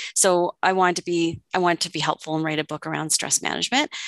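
A woman with a Canadian accent talks at a fairly quick pace against a quiet background, the sound dry and close with no echo. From Ontario, Canada (Oakville). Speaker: counseling psychologist and author. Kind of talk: interview. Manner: hesitant with fillers.

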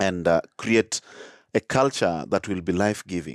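A man with a very deep, low pitch, lively intonation and moderate pace, in a dry, close sound with no echo. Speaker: charity founder. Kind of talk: casual interview chat. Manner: hesitant, with many fillers.

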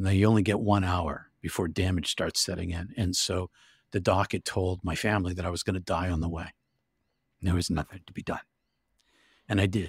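A man's very deep, low, somewhat breathy voice, fairly quick yet full of long, frequent pauses, flat and monotone, dry and close with no echo on a very clean recording with a silent background. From US Northeast, Massachusetts near Boston. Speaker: author and minister. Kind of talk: interview testimony.

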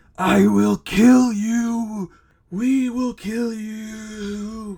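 The put-on character voice is shrill and fairly high, and it moves at a very slow pace. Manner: menacing.

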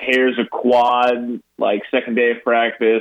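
At a fairly slow pace, a man speaks in an unremarkable speaking voice with a medium pitch. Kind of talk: casual sports talk show chat. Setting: phone call.

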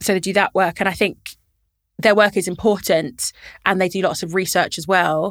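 A woman speaks at a moderate pace in a London accent with fairly even intonation. The sound is dry and close with no echo, and the recording is very clean against a silent background. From London, Camden. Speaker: local politician, mayor. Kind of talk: interview. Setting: studio.

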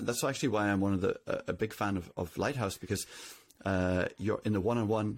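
Speaking at a fairly quick pace with a Northern Irish accent, a man uses a fairly low pitch, ordinary pitch variation and very even loudness on a very clean recording with a silent background. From Northern Ireland. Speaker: CTO. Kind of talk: interview.

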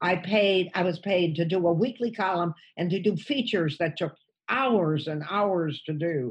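Speaking with an American accent, a woman uses a fairly low, somewhat breathy voice at a moderate pace with ordinary pitch variation. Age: 80s+. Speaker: stand-up comedian. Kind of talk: casual chat.

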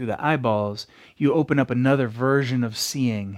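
A man's unremarkable speaking voice at medium pitch, with ordinary pitch variation, on a very clean recording with a silent background. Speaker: yoga teacher. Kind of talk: guided meditation. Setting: yoga class recording. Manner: slow, soft, soothing, with long pauses; reflective, poetic, gentle.

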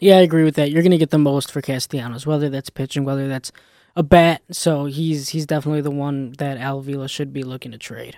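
In an American accent, a dark, mellow voice talks at a very fast pace with fairly even intonation and big swings in loudness. The recording is very clean and dry, close with no echo, against a silent background. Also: man, fairly high pitch for a man. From Chicago area, Illinois. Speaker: college radio sports pundit. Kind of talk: casual sports chat. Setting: studio.

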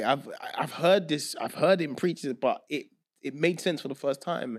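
In a very clean recording with a silent background, a man with an American accent speaks at a moderate pace in a high voice. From London. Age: 30s. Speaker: music producer. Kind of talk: casual chat.

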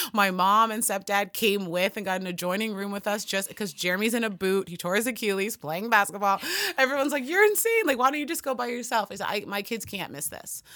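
Talking at a very fast pace, a woman with medium pitch shows big swings in loudness. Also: ordinary pitch variation. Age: 30s. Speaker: fitness coach and basketball player. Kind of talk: casual interview. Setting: studio.

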